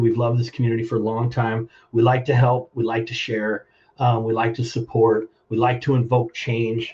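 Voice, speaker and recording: Somewhat breathy, a man speaks at a moderate pace and medium pitch. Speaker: plumbing business owner. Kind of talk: interview. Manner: halting.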